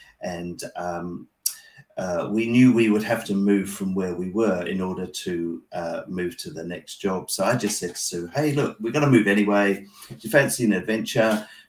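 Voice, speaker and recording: A man with an English accent, fairly low-pitched, with ordinary pitch variation and big swings in loudness. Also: moderate pace. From England. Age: 60s. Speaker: pastor. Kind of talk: interview conversation. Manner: halting, many fillers.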